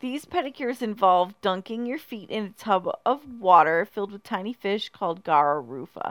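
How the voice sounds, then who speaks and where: A woman's playful tone at medium pitch, with very wide pitch swings, hardly any pauses, and a very clean recording with a silent background. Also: moderate pace. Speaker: podcast host. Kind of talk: casual comedic chat. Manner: joking, playful.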